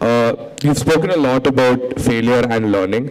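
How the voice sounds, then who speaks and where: Noticeable background noise sits behind the recording. A man speaks at a fairly quick pace. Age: 20s. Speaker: college student, audience questioner. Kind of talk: audience question.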